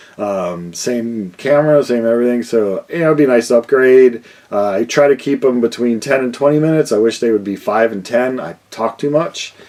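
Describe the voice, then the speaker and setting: A man talks at medium pitch and a moderate pace. Noticeable background noise runs underneath. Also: ordinary pitch variation, hardly any pauses. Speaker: vinyl record YouTuber. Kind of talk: casual vlog Q&A. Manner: loud; mumbling.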